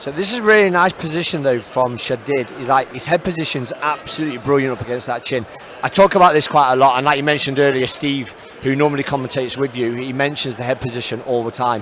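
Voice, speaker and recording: Talking at a very fast pace, a man with a fairly high pitch for a man is heard over noticeable background noise. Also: ordinary pitch variation. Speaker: MMA co-commentator and coach. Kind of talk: live commentary.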